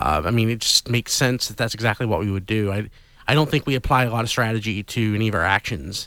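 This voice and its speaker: Speaking very fast, a man with a fairly low pitch and a bright, sharp tone uses ordinary pitch variation in a very clean recording with a silent background. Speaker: tabletop RPG player and co-host. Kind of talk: casual chat, game review.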